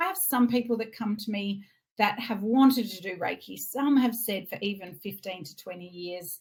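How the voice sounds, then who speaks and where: Speaking at a moderate pace, a woman with an Australian accent sounds somewhat breathy and uses lively intonation. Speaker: reiki teacher. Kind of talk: online masterclass sales pitch.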